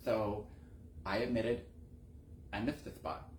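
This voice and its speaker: Speaking at a moderate pace, a man with a fairly low pitch and a somewhat breathy voice is heard with audible room echo. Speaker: window cleaning business owner and talk show host. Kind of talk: casual monologue. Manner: casual, halting with repetitions. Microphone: earbud mic, bad audio.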